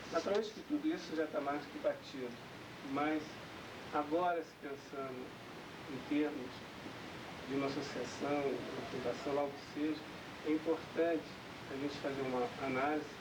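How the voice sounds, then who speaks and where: Speech with fairly even intonation, broken by long, frequent pauses, is heard over noticeable background noise. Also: man, fairly high pitch for a man. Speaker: speaker presenting a spiritual organization's goals. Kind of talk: formal presentation at a founding ceremony. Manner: slow.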